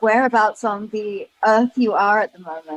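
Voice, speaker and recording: At a moderate pace, a woman with a fairly high voice speaks in a British accent. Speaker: podcast host. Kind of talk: podcast interview.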